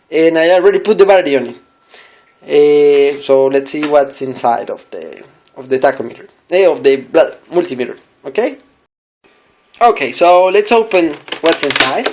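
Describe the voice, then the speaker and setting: The speaker uses a non-native accent at a moderate pace. Long pauses come often. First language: not English. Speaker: product reviewer. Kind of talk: tutorial. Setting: home desk. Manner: halting; careful.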